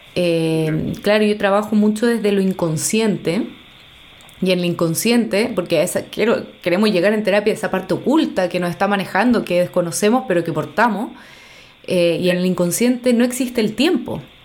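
Speech in a Chilean accent moves at a moderate pace. Its pitch variation is ordinary. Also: woman, medium pitch for a woman. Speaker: podcast host, psychologist and art therapist. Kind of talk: casual interview chat.

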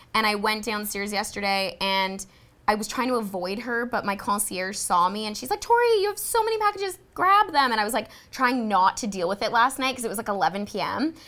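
Fairly quick and fairly high-pitched, a woman talks with ordinary pitch variation. She has a normal speaking voice. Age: 20s. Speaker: podcast co-host. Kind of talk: casual chat. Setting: studio.

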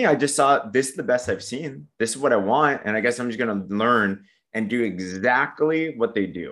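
Fairly quick male speech in a Southern Californian accent, lively in intonation, with a quiet background. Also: medium pitch for a man. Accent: Southern California American. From San Diego, California. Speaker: network marketer. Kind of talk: casual interview chat. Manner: upbeat, motivational.

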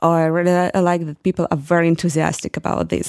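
A woman speaks with a Ukrainian accent. Her pace is very fast. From Ukraine. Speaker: oceanography student. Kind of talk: interview. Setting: apartment in Glasgow. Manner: halting, many fillers.

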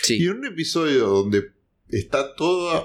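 A normal speaking voice, fairly slow, with lively intonation. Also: man. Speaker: podcast host. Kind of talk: casual chat.

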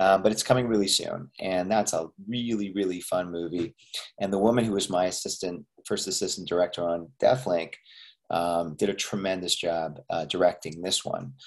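The speaker has a Canadian accent, ordinary pitch variation and a moderate pace. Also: man, very deep, low pitch for a man. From Canada, Montreal. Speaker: actor and filmmaker. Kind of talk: interview.

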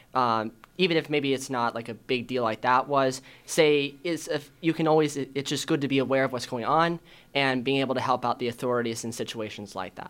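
A man with an unremarkable speaking voice and an American accent, medium pitch, fairly quick pace and fairly even intonation, in a very clean recording with a silent background. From Arizona, Chandler. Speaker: student panelist, international news. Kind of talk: news segment on student panel show. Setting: studio.

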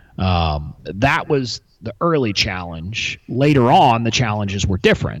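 With an American accent, a man of fairly low pitch speaks at a fairly slow pace, his pitch swinging very widely. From US South, Texas (McAllen, near Mexican border). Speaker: intellectual property lawyer and entrepreneur. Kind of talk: interview conversation. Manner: hesitant with fillers and repetitions.

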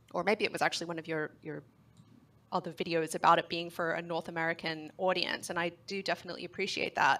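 Here is a woman with an Australian accent and a fairly low pitch. Her tone is bright and sharp, and she talks fairly quickly. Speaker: caller, longtime viewer. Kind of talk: casual chat.

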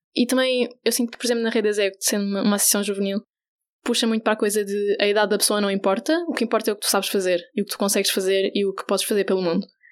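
Very fast and fairly even in intonation, a woman speaks at medium pitch. The recording is very clean, with a silent background. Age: 20s. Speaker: LGBTI youth association volunteer educator. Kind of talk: radio interview.

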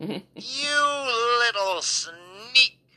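This put-on character voice is squeaky and shrill, pitched fairly high. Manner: shrieking with hatred.

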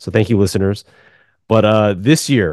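The man's voice has a dark, mellow tone. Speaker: podcast host. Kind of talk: casual chat.

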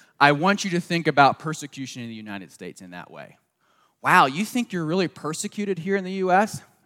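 A man with a slight Southern US accent speaks very fast in a high, bright, sharp voice with lively intonation. His loudness swings widely, and the sound is dry and close with no echo. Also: very clean recording, silent background. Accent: slight Southern US, people remark on it. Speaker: pastor. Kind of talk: sermon.

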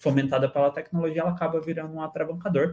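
Somewhat breathy, the delivery shows ordinary pitch variation. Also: man. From Brazil, southern Minas Gerais (Itajubá). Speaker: product designer and teacher. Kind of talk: casual interview chat.

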